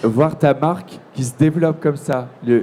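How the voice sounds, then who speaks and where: This man's voice sits fairly high in pitch. His intonation stays fairly even. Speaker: TV presenter. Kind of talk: live interview at a trade fair. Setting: trade fair, live broadcast.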